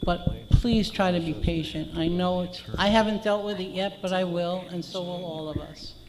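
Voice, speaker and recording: At a moderate pace with hardly any pauses, the speech comes over noticeable background noise. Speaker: condo association board member. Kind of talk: board meeting remarks. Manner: soft-spoken.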